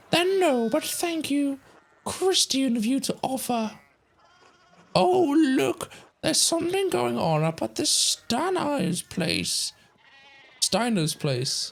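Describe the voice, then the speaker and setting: A woman puts on a character voice, high-pitched, with very wide pitch swings. She talks fairly slowly, leaving long, frequent pauses. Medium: game stream. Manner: brisk, blunt.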